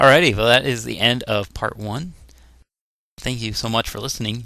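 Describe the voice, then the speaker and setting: A man mumbles at a moderate pace and medium pitch, with ordinary pitch variation. His tone is bright and sharp, with vocal fry. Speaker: let's play gamer. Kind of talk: gameplay commentary. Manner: mumbling; casual, hesitant.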